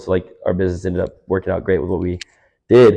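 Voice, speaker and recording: This man has a very deep, low pitch and a dark, mellow tone, with an American accent. He talks at a very fast pace against a quiet background. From US South, Georgia, an hour north of Atlanta. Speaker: podcast guest, small business owner. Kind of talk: casual chat. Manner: animated.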